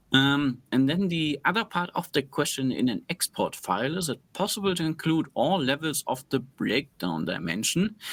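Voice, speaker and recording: With vocal fry and lively intonation, a man speaks in a fairly high pitch. His moderate pace comes with hardly any pauses, in a very clean recording with a silent background. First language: not English. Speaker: analytics expert answering questions. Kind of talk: screen-share tutorial.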